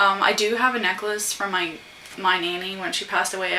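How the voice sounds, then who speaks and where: A woman at a medium pitch and a fairly quick pace, with audible room echo and noticeable background noise. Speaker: vlogger. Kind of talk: casual chat. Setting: at home. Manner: soft-spoken.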